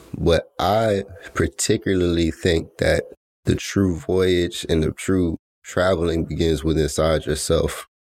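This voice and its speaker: In a very clean recording with a silent background, a man with an American accent speaks in a very deep, low voice. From US South, Atlanta, Georgia. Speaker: podcast host. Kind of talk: solo motivational monologue. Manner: casual, laid-back; not very enthusiastic.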